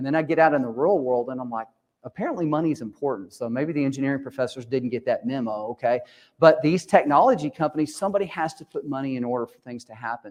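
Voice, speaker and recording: The speech comes at a very fast pace in an American accent. The background is quiet. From Texas. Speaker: conference host and organizer. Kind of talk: conference opening talk. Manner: casual, joking.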